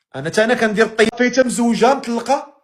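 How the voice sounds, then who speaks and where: Speaking at a fairly quick pace, a man with a Moroccan accent uses ordinary pitch variation. His pitch is extremely high. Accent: Moroccan Arabic (Darija). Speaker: live-stream host. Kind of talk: casual chat.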